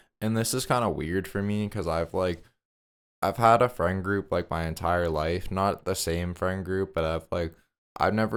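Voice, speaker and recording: This man has a very deep, low pitch and an American accent. He speaks at a moderate pace with fairly even intonation on a very clean recording with a silent background. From Massachusetts, US. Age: 18. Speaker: vlogger. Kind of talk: casual monologue. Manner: rambling, filler-heavy.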